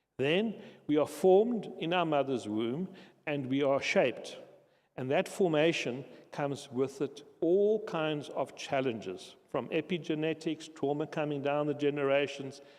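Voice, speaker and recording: A man speaks in a normal speaking voice, fairly high in pitch. He goes at a fairly slow pace with ordinary pitch variation. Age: 60s. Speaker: conference speaker, social enterprise founder. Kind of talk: conference talk.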